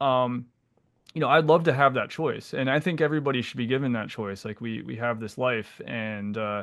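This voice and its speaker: This man has an unremarkable speaking voice at medium pitch, with an American accent. His pitch variation is ordinary. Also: moderate pace. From Pennsylvania, US. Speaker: naturopathic physician, podcast co-host. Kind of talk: casual conversational podcast discussion. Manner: casual, with frequent fillers and repetitions.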